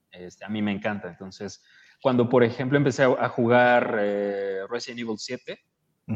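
Speaking at medium pitch and a moderate pace, the man uses an ordinary speaking voice. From Mexico City, Iztapalapa. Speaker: podcaster and audiobook producer. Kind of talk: casual chat.

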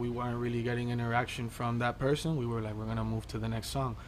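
A man's medium-pitched voice with an American accent, in audible room echo. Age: 20s. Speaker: music artist. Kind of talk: interview.

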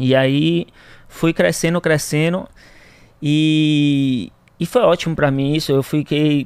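A man speaks at a very slow pace in a fairly high pitch. His pauses are long and frequent. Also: ordinary pitch variation. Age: 20s. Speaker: entrepreneur. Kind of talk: interview. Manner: halting.

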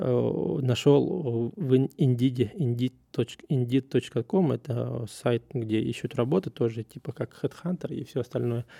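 A man speaks at a very slow pace in a dark, mellow tone. The recording is very clean with a silent background. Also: dry, close sound with no echo. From Russia. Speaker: podcast host, surveyor. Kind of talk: casual monologue. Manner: halting, many fillers.

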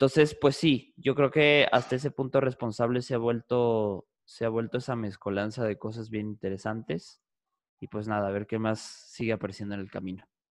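A man's voice at medium pitch, with ordinary pitch variation and a normal speaking voice, dry and close with no echo. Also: moderate pace. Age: 20s. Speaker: psychologist and podcaster. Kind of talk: casual interview.

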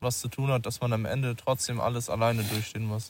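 A man's medium-pitched, somewhat breathy voice at a moderate pace with fairly even intonation, on a very clean recording against a silent background. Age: 20s. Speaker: musician and trainee lab technician. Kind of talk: casual chat. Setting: outdoors at night under the stars.

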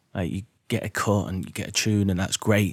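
At a very fast pace, a man with an English Midlands accent and a fairly low pitch talks on a very clean recording with a silent background. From English Midlands, Derby. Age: 30s. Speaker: property investor and podcaster. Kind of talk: casual monologue to listeners. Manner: animated.

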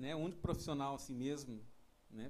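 Audible room echo surrounds a man's fairly high-pitched voice. His intonation is fairly even. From São Paulo, Brazil. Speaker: saxophonist. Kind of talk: casual chat.

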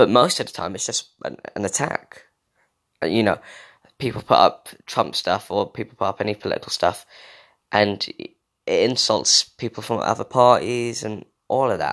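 The speaker has an English accent and talks at a moderate pace. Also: man. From England. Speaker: podcast host. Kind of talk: casual solo monologue. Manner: rambling, frequent fillers.

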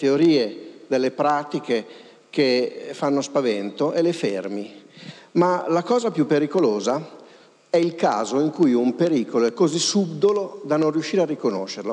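With lively intonation, a man speaks in an unremarkable speaking voice at a fairly high pitch. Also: moderate pace. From Pavia, northern Italy. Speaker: linguist and author. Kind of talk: lecture. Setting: stage with audience.

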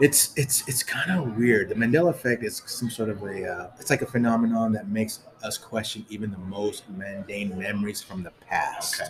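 Against noticeable background noise, a man with a fairly low voice talks at a moderate pace with ordinary pitch variation. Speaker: podcast co-host. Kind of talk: casual chat.

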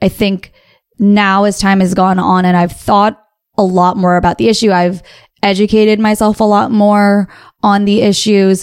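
Speaking with an American accent, a woman keeps a monotone, flat intonation and very even loudness. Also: medium pitch for a woman, moderate pace. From US. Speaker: podcast co-host. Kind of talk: casual chat.

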